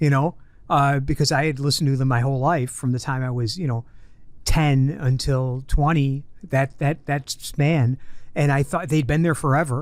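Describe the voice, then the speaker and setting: A man with an American accent speaks in an ordinary speaking voice at a moderate pace, pitched fairly high with fairly even intonation. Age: 60s. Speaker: podcast host and jazz pianist. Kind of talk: casual chat.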